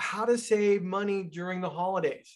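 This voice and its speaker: A man talks, and the background is quiet. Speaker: financial consultant and podcast host. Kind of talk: podcast host talk. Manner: enthusiastic, conversational. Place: office.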